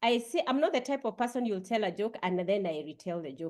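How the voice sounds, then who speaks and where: A woman with a Kenyan accent, medium pitch, very wide pitch swings and a moderate pace. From Kenya, Kiambu. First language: a Kenyan language, not English. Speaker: Toastmasters session leader. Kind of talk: humor workshop talk.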